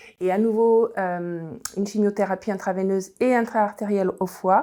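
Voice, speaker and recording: Her tone dark and mellow, a woman speaks at a medium pitch and a moderate pace with fairly even intonation. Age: 60s. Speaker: cancer patient. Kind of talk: testimony. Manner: halting, many hesitations.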